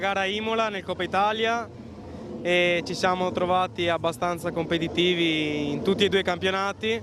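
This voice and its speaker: High-pitched male speech at a fairly quick pace amid noticeable background noise. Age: young. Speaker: racing driver. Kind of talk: post-race interview.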